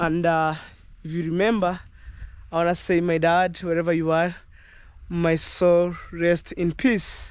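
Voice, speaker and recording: The delivery is fairly slow, with long, frequent pauses. Intonation stays flat and monotone. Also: man, high pitch for a man. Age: young. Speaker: vlogger. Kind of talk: casual vlog narration. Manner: hesitant.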